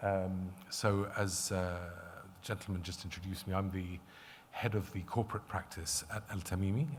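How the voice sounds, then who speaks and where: A man's very deep, low voice, somewhat breathy, with fairly even intonation and audible room echo. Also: moderate pace. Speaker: lawyer and conference speaker. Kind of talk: conference presentation. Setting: conference stage with audience. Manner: hesitant, many filler words.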